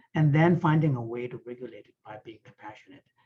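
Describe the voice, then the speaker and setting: The man's voice is fairly high in pitch. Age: 60s. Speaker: author and Buddhist scholar. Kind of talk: online panel discussion.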